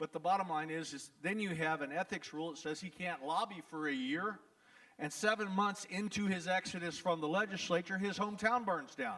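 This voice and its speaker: With a Texas accent, the speaker talks at a fairly quick pace with ordinary pitch variation. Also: man, high pitch for a man. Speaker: trial lawyer. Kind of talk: town hall talk. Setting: event hall with audience. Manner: animated.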